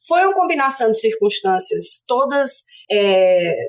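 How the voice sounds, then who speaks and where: A woman with a Fortaleza accent and a high pitch. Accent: Northeastern Brazilian (Fortaleza). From Brazil, Fortaleza (Northeast). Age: 50s. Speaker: political science professor. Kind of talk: interview conversation.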